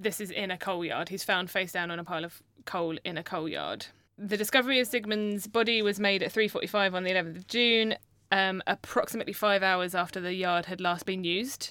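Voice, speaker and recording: A woman speaks with a British accent in a bright, sharp tone. Her pace is fairly quick, and the recording is very clean with a silent background. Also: medium pitch for a woman, fairly even intonation. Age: 30s. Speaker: podcast co-host. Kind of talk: storytelling. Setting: studio. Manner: swears a lot.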